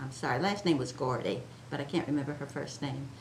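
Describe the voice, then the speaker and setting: A woman with an American accent speaks with lively intonation in a somewhat breathy voice, with audible room echo. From Chincoteague Island, Virginia Eastern Shore. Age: 80s+. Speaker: oral history interviewee. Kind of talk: oral history interview. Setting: museum.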